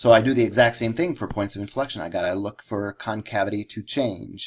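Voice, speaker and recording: There is a man with a normal speaking voice who talks at a moderate pace with ordinary pitch variation, on a very clean recording with a silent background. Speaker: math teacher. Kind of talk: lecture.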